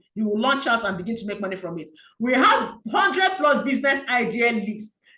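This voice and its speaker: The voice has a bright, sharp tone and lively intonation, with audible room echo around it. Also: woman. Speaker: business coach. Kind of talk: sales pitch. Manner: fast.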